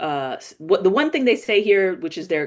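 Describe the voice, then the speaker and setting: Speaking at a fairly slow pace in a New York accent, a woman uses lively intonation. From New York City, the Bronx. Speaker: political commentary host. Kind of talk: live political commentary. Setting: live stream. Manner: casual, conversational with fillers.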